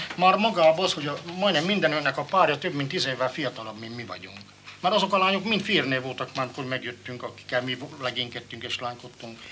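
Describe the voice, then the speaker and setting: Amid noticeable background noise, a man with a fairly high pitch swings through very wide pitch changes. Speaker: former prisoner of war. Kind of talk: testimony.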